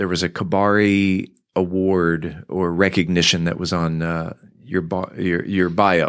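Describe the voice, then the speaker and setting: A man's very deep, low voice with an American accent and fairly even intonation. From Southern California. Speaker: podcast host. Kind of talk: news reading. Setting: studio.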